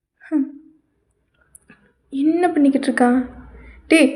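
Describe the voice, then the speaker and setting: This woman has a high-pitched voice. Her pitch moves an ordinary amount. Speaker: comedy voice-over artist. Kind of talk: comedy dub voice-over of a variety show. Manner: playful, exaggerated.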